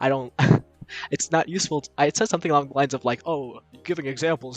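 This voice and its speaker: Talking at a very fast pace, a man with a medium pitch and ordinary pitch variation comes through dry and close with no echo, over noticeable background noise. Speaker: student streamer. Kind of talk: casual presentation on a live stream. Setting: live stream. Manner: many fillers and restarts; speeds up and goes higher when presenting.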